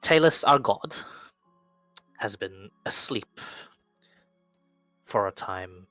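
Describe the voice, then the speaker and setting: A man uses a put-on character voice with a fairly low pitch and solemn tone, speaking very slowly. Long, frequent pauses break his speech over faint background music. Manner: solemn, storytelling.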